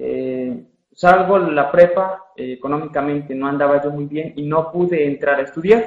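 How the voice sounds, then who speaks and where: A man with a plain, everyday voice speaks at a fairly slow pace and a fairly high pitch, with ordinary pitch variation and big swings in loudness. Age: 20s. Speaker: recent accounting graduate. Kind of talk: interview.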